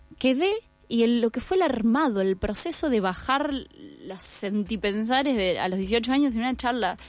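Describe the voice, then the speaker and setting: Her intonation is lively as the woman talks. Background music accompanies her. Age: 20s. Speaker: environmental activist. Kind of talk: radio interview.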